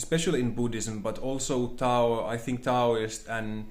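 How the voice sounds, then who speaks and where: Speaking at a fairly slow pace with a non-native accent, a man keeps a monotone, flat intonation amid audible room echo. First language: not English. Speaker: spiritual teacher, channel host. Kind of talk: monologue lecture. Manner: halting, searching for words.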